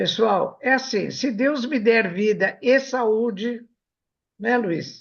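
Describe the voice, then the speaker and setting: Very slow, fairly high-pitched speech from a woman. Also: ordinary pitch variation. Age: 80s+. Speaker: radio host, anatomy professor. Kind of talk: casual chat. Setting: web radio studio.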